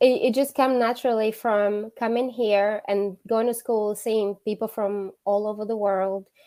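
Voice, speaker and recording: On a very clean recording with a silent background, a woman with a Portuguese accent speaks fairly slowly at a fairly high pitch. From Angola. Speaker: interview guest. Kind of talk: interview.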